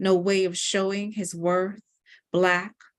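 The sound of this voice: An unforced reading voice sounds with a quiet background behind it.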